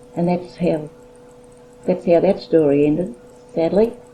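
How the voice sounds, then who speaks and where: Against noticeable background noise, a woman with an Australian accent speaks in a fairly low pitch with ordinary pitch variation. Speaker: grandmother recalling family history. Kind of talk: oral history interview. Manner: halting.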